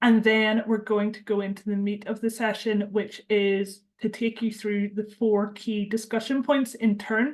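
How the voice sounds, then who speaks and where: In a quiet background, a woman speaks at a fairly high pitch and a fairly slow pace with a monotone, flat intonation. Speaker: charity campaigns and policy lead, webinar host. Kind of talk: webinar introduction.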